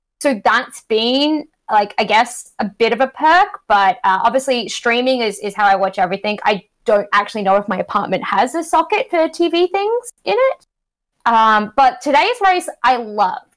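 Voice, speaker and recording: A moderate pace and very wide pitch swings, with an Australian accent. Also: woman, high pitch for a woman. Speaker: sports media podcaster.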